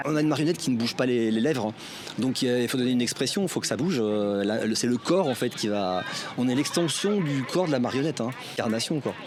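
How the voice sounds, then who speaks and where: Noticeable background noise sits behind a man with a medium pitch and lively intonation. He talks at a fairly quick pace with very even loudness. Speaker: puppeteer. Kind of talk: interview answer.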